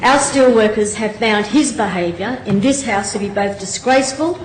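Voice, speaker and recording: Noticeable background noise behind a woman speaking at a moderate pace in a fairly high voice. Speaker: state member of parliament. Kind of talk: parliamentary debate speech.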